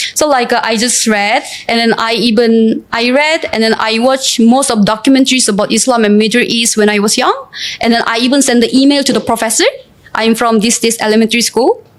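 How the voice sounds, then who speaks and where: A woman with a Korean accent talks at a fairly quick pace and fairly high pitch, her intonation fairly even and her loudness very even. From South Korea, Seoul. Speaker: student and brand ambassador. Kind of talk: interview testimony. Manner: halting with many fillers.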